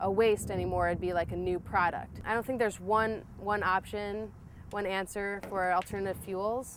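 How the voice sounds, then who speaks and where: A woman with a Midwestern American accent at a moderate pace, in a monotone, flat intonation. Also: medium pitch for a woman. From US Midwest, Toledo, Ohio. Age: 20s. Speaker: vegetable-oil car road-tripper. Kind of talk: documentary interview. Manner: casual, some hesitations.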